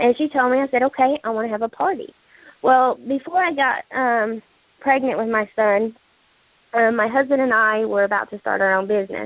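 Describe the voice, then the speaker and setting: A woman's shaky voice moves at a fairly quick pace, fairly high in pitch with lively intonation. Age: 20s. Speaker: direct sales distributor. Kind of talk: testimony. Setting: phone conference call. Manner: hesitant, many fillers.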